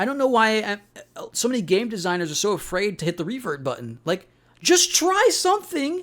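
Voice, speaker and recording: A man's high voice with very wide pitch swings at a moderate pace, in a very clean recording with a silent background. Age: 20s. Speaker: gaming youtuber. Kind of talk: video essay monologue. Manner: casual, halting with repetitions.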